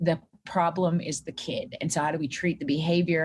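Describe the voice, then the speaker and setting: A woman talks at a fairly quick pace in a somewhat breathy voice. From Canada, central Alberta. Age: 40s. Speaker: clinical psychologist. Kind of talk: podcast interview.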